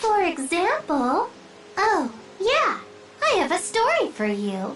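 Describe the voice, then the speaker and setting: Over clear background noise, a female-sounding put-on character voice speaks at an extremely high pitch and a fairly slow pace. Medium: video game. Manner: chirpy, singsong, repetitive.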